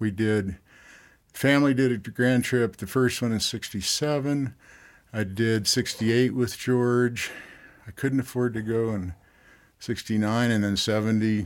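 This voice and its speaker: A man's medium-pitched voice, fairly slow, with fairly even intonation and long, frequent pauses. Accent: American. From Southern California. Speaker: river outfitter and pilot. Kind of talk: interview.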